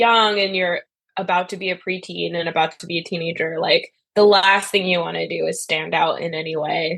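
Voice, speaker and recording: In a fairly low pitch, a woman talks with vocal fry and monotone, flat intonation. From Montreal, Canada. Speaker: folk musician. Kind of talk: interview.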